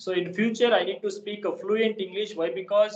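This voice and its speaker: A high-pitched man with a Kannada accent, at a moderate pace. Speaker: English learner. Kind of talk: casual chat. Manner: halting.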